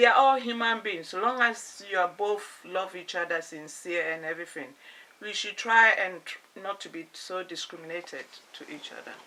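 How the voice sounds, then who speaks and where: Through noticeable background noise, a woman at medium pitch talks at a moderate pace with ordinary pitch variation and big swings in loudness. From Ghana. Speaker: interviewee, host's mother. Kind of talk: casual chat.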